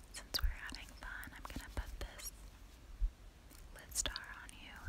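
At a fairly slow pace, a woman talks. She is whispering. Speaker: ASMR artist. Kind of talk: ASMR makeup roleplay, personal attention. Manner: soft-spoken, gentle, friendly. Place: home room. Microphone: phone near.

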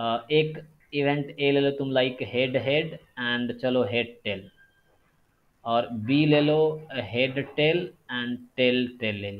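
Long, frequent pauses break up this man's speech, which has ordinary pitch variation. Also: medium pitch for a man. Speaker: statistics teacher. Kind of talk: online lecture.

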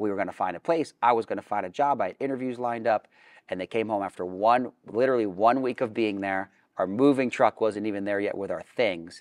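A man speaks with normal pitch variation, and the background stays quiet. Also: fairly quick pace. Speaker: interview guest. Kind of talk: interview answer. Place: studio. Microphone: lapel.

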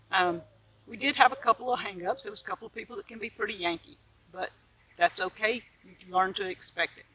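A woman talks very fast with a Mississippi accent and a fairly high pitch. Noticeable background noise runs behind her. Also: ordinary pitch variation, big swings in loudness. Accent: Southern US (Mississippi). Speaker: vlogger, homesteader. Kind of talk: casual vlog monologue. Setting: outdoors in the garden. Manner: animated.

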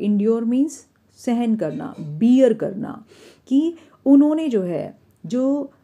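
Amid audible room echo, a woman with a dark, mellow tone and a high pitch speaks with long, frequent pauses. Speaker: English teacher. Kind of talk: lecture.

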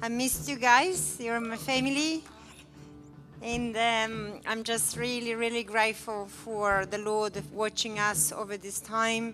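Fairly slow, fairly even speech from a woman over clear music in the background. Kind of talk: personal testimony and thanks. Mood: emotional, grateful. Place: church. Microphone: handheld.

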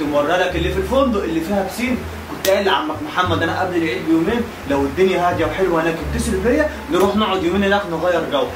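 Over noticeable background noise, a man with a high pitch talks at a very fast pace with ordinary pitch variation. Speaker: comedy sketch actor playing several roles. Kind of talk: comedy sketch dialogue. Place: home room.

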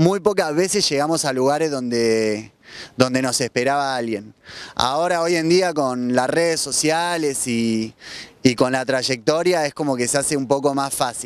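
The recording is dry, without any echo. His pitch varies in an ordinary way. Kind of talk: interview answer. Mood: warm, enthusiastic. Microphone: handheld.

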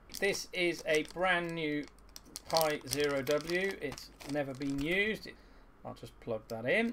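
Noticeable background noise sits behind a man with a bright, sharp tone. He talks at a very slow pace with ordinary pitch variation. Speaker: maker demonstrating a project. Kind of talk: tutorial. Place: workshop.

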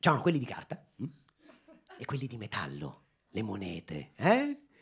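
A man talks in an animated tone at a fairly quick pace, with light background noise. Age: 30s. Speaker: comedian. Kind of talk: stand-up. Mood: ironic, mock-nostalgic. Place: stage. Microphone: handheld.

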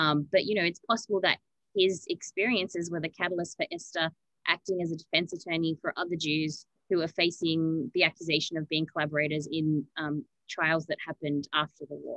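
An unremarkable speaking voice from a woman, fairly low in pitch, with fairly even intonation and a fairly quick pace, dry with no echo over a quiet background. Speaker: museum archivist; presenter. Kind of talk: educational webinar presentation. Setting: archive room, remote video. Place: home room. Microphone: video call.

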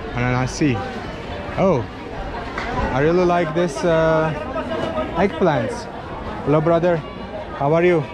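A man talks at a fairly slow pace while noticeable background noise carries on behind him. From Azerbaijan. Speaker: travel vlogger. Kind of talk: travel vlog with market chats. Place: market. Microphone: phone near.

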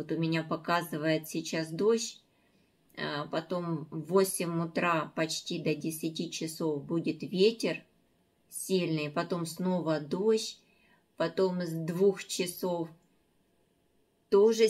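The speech moves at a very slow pace, broken by long, frequent pauses. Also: woman, fairly low pitch for a woman, ordinary pitch variation, quiet background. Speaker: home vlogger. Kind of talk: casual vlog chat. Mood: calm, early-morning chat. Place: kitchen. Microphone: phone near.

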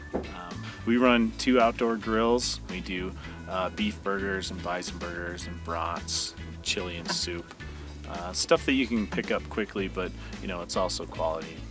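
Over clear music in the background, a man with a very deep, low pitch talks at a fairly slow pace in a dry sound with no echo. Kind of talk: interview answer. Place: open country.

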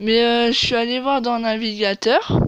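A woman's clear, smooth tone at a fairly high pitch

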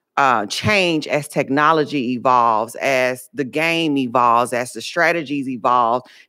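A woman talks at a fairly slow pace with a very deep, low pitch. The background is quiet. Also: ordinary pitch variation. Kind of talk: committee testimony. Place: hall. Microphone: podium.

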